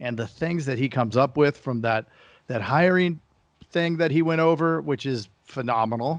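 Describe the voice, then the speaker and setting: The delivery moves at a fairly slow pace. Its pitch variation is ordinary. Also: man. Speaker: podcast host. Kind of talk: casual chat. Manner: animated.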